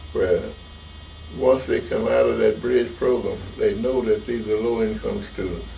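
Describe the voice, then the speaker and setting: A man's moderate-paced speech comes through with noticeable background noise behind it. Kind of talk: oral history interview answer. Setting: interview.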